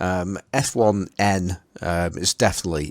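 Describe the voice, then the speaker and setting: This man speaks with a Potteries accent and a fairly even intonation. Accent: Potteries (Stoke-on-Trent). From England, Stoke-on-Trent (the Potteries). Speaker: podcast host. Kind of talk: casual chat. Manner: halting, many fillers and repeats.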